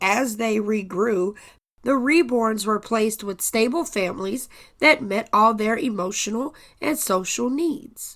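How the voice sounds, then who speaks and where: A woman's raspy put-on character voice, fairly high in pitch and fairly slow, on a very clean recording with a silent background. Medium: audio drama. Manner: earnest, deferential.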